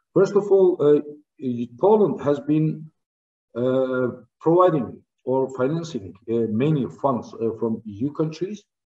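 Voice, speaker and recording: A man with a Turkish accent speaks at a very slow pace and a fairly high pitch, with long, frequent pauses. His tone is dark and mellow, with lively intonation. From Turkey. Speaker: trade diplomat; speaker. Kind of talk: formal speech. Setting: online live video link. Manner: halting, many fillers. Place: home room. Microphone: video call.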